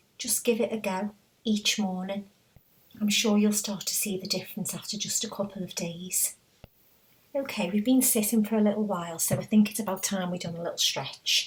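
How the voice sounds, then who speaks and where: A woman speaks in a somewhat breathy voice with a gentle, calm tone. Her pitch is medium and her pace fairly quick. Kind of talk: guided meditation. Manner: gentle, calm, encouraging.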